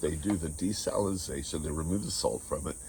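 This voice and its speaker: This voice has vocal fry and lively intonation and moves at a fairly quick pace. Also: man. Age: 60s. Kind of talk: casual talk to camera.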